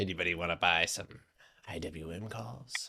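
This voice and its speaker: Putting on a raspy character voice, a man speaks at a moderate pace with a very deep, low pitch. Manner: sly, hushed.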